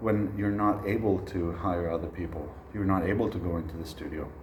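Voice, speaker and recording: Noticeable background noise and audible room echo around a man speaking at a moderate pace. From Sweden. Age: 30s. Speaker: jazz trombonist and music educator. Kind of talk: recorded online masterclass.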